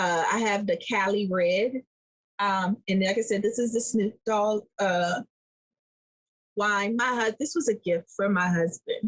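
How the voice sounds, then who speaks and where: A woman with an American accent speaks at a fairly slow pace with a medium pitch and very even loudness. The sound is dry and close, with no echo. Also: ordinary pitch variation. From Washington DC (Southeast). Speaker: podcast co-host. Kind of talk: casual chat. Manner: animated.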